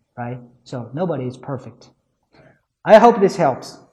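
This man's tone is dark and mellow. His voice is somewhat breathy. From China. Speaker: podcast host. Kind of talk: solo talk giving English-learning advice. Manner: hesitant, many filler sounds.

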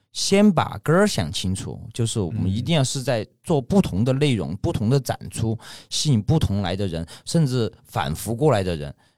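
A man at a medium pitch, his voice swinging very widely up and down. He talks at a moderate pace with hardly any pauses. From Sichuan, Ya'an. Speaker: shop owner. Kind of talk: casual chat.

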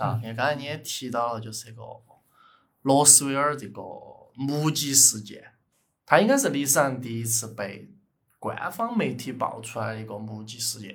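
With a Sichuan accent, a man talks at a moderate pace in a somewhat breathy voice, his loudness swinging widely amid audible room echo. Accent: Sichuan (Chengdu) dialect Mandarin. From Chengdu, Sichuan, China. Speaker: podcast co-host. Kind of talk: casual chat with storytelling.

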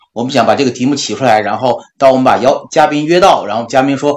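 A man delivers his words very fast. His voice sits at a medium pitch and varies in an ordinary way. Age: 40s. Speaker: podcast co-host. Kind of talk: casual chat.

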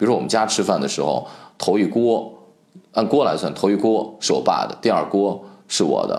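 This man talks at a fairly quick pace in a fairly low pitch with vocal fry, and room echo is audible. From Shaanxi, Guanzhong. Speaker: podcast host, food commentator. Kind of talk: solo podcast monologue.

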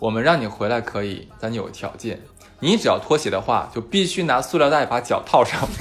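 A man speaks at a fairly quick pace with lively intonation and a medium pitch. Noticeable background noise sits behind him. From Harbin, northeast China. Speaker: podcast host. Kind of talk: casual chat.

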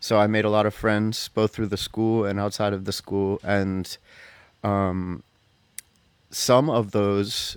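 At a moderate pace, a man with an American accent speaks in a fairly low pitch with fairly even intonation. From USA, grew up on a farm on an island. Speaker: jazz saxophonist. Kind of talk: interview. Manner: hesitant, many fillers.

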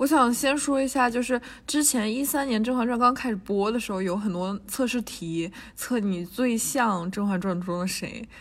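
This woman has a fairly high pitch that varies in an ordinary way. She talks at a moderate pace. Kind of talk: casual chat. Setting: university building lobby during lockdown.

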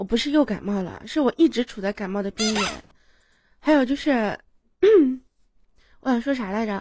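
With a dark, mellow tone and fairly high pitch, a woman talks at a moderate pace with lively intonation and long, frequent pauses, on a very clean recording with a silent background. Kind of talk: birthday greeting on a live stream.

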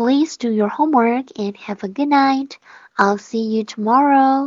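A woman's high-pitched voice at a moderate pace. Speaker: English pronunciation teacher. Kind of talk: online lesson. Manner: raised, tense voice when speaking English.

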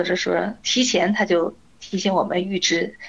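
A woman at medium pitch with fairly even intonation and vocal fry. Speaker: teacher and cancer patient. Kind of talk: interview.

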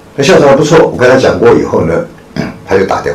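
The recording of a man's voice carries noticeable background noise and audible room echo. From Taiwan. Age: 60s. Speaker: charity foundation chairman, retired businessman. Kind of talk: public lecture. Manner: halting, frequent fillers.

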